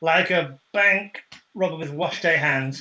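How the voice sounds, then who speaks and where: A man talks in a raised, projected voice with a bright, sharp tone. His pace is fairly slow. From UK. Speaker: HR, training and coaching professional. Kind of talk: casual video call conversation.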